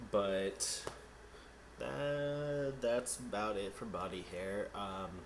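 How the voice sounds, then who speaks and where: Very slowly and with lively intonation, a man speaks in a fairly low pitch amid noticeable background noise and audible room echo. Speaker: vlogger. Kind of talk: casual vlog. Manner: filler-heavy, casual.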